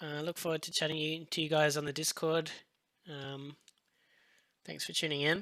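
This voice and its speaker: A man with an Australian accent, fairly high in pitch and monotone with flat intonation, on a very clean recording with a silent background. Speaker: visual effects compositor. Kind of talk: live-stream tutorial. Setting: live stream. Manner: hesitant, many fillers.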